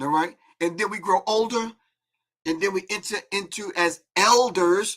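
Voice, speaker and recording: The man's voice is high in pitch, with ordinary pitch variation. His tone is animated. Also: moderate pace. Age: 60s. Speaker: call-in show host. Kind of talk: casual talk show monologue.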